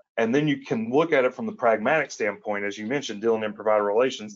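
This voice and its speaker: Speaking with an Appalachian accent, a man uses a medium pitch. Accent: Appalachian Southern US. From Eastern Kentucky, Appalachia. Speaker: attorney, co-host. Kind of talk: conversational podcast discussion.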